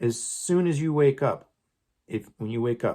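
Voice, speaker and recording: A man's lively intonation, at a moderate pace, comes in an ordinary speaking voice. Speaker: home cooking tutorial host. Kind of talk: casual talk to camera.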